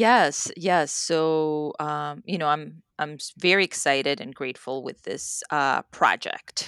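A woman with a very deep, low pitch and a Spanish accent speaks at a very slow pace with hardly any pauses and big swings in loudness, in a very clean recording with a silent background and a dry, close sound with no echo. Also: ordinary pitch variation. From Mexico. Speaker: author. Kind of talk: casual interview chat.

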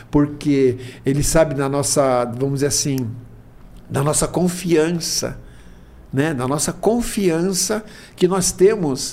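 This man speaks at a fairly high pitch with ordinary pitch variation. His pace is very slow, broken by long, frequent pauses. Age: 70s. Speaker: spiritist speaker. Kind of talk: casual chat.

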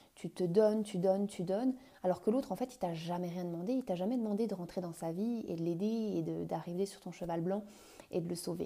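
A woman speaks in a dark, mellow tone at a moderate pace with ordinary pitch variation. The recording is very clean, with a silent background. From France. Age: 30s. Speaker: couples coach. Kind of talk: solo podcast monologue. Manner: halting, many fillers.

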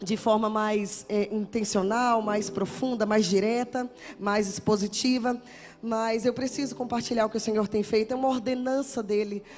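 With monotone, flat intonation, a woman speaks at a moderate pace in a fairly high pitch. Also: very even loudness. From Brazil, Salvador, Bahia. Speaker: guest preacher. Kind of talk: sermon with personal testimony. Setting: church with congregation.

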